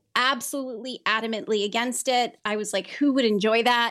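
A woman with an American accent has a plain, everyday voice, pitched fairly high and delivered at a moderate pace. The recording is very clean, with a silent background. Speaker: pharmacy advocate. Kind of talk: casual interview conversation.

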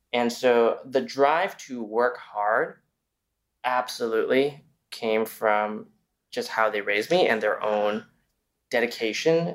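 A man speaks slowly at a medium pitch with ordinary pitch variation.

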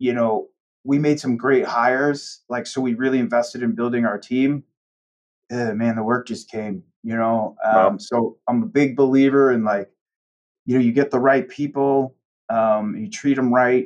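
At a moderate pace, a man with a medium pitch and ordinary pitch variation speaks in a plain, everyday voice. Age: 40s. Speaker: accounting firm partner. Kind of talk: casual interview.

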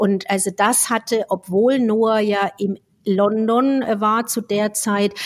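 Speaking at a very slow pace, a woman with a fairly high pitch keeps her intonation fairly even in a very clean recording with a silent background. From Franconia, Germany. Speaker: speech therapist podcast co-host. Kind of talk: casual chat.

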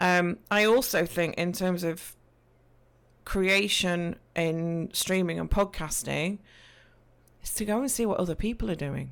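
A woman with an East Midlands accent speaks at a fairly low pitch and a fairly slow pace, with ordinary pitch variation. Long, frequent pauses come through a very clean recording with a silent background. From English Midlands. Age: 40s. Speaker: Twitch streamer and podcaster. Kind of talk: casual interview chat.

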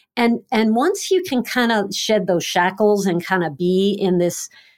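In a very clean recording with a silent background, a woman with an unremarkable speaking voice talks at a fairly slow pace, medium in pitch, with ordinary pitch variation. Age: 50s. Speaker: wellness and weight loss coach. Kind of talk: casual chat.

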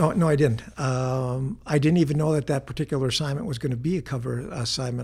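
A man with an American accent talks at a fairly quick pace in a medium pitch. His voice is somewhat breathy, with ordinary pitch variation. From Wisconsin, north of Green Bay. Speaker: sports photographer. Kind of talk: interview.

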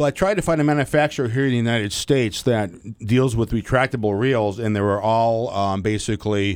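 A man uses a normal speaking voice at medium pitch with ordinary pitch variation. He talks at a fairly quick pace on a very clean recording with a silent background. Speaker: sign language interpreter pitching an invention. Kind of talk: product pitch.

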